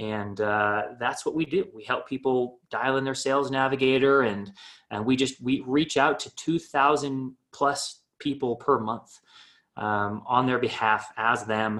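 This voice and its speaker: A man's ordinary speaking voice at a medium pitch, with ordinary pitch variation. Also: fairly slow pace. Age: 30s. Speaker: startup founder and marketing agency owner. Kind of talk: casual interview.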